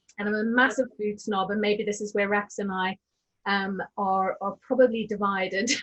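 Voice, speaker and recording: A woman talks with a South African accent. Her voice is somewhat breathy, with monotone, flat intonation. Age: 40s. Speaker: diversity and inclusion speaker. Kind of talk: webinar panel discussion.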